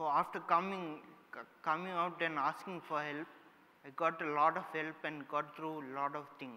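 A bright, sharp voice over light background noise. The intonation stays fairly even at a moderate pace. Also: man. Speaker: summit host, speaker. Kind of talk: inspirational talk. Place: stage.

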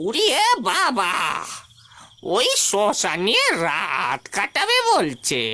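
In a cartoonish character voice, the speaker talks at a fairly high pitch and a very slow pace. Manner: anxious, cautious.

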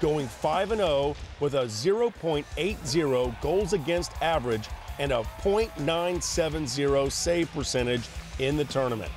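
Over music in the background, a man speaks at a fairly slow pace and fairly high pitch, with lively intonation and very even loudness. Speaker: sports reporter. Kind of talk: sports news package narration.

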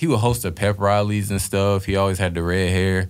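This man has an unremarkable speaking voice, fairly low in pitch and moving at a fairly quick pace. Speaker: guest. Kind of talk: interview answer. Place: studio. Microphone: studio mic.

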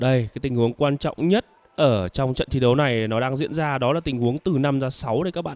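The speech comes very fast with hardly any pauses. Pitch varies in an ordinary way. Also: man, medium pitch for a man, dry, close sound with no echo. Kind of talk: live sports commentary on a pool match. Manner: animated, excitable, enthusiastic, praising shots; fast, flowing play-by-play with informal asides to viewers.

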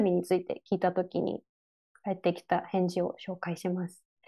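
Over a quiet background, a woman with a dark, mellow tone and medium pitch speaks at a moderate pace. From Japan, rural Chiba; Japan. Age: 30s. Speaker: graphic designer and environmental activist; lecturer. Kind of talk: online lecture. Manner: many fillers (えっと, あの). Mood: calm, thoughtful. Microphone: earbuds.

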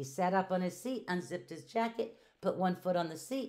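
It is an unforced reading voice. The pitch variation is ordinary.

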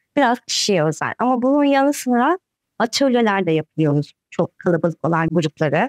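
A woman at a moderate pace, dry sound with no echo, quiet background. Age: 40s. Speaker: breathing coach. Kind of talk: interview. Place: home room.

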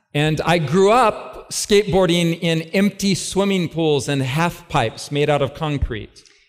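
Speaking very slowly, a man talks with a high pitch. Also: ordinary pitch variation, hardly any pauses. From California, US. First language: English (speaking Polish). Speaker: preacher. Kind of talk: sermon. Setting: stage with audience. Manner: slow, short phrases for interpreter.

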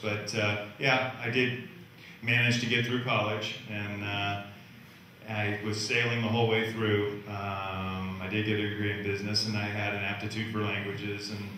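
Amid strong room echo and light background noise, a man speaks at a moderate pace with a fairly low pitch and monotone, flat intonation. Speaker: guest. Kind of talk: talk answering a moderator's question. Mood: relaxed, smiling. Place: hall.

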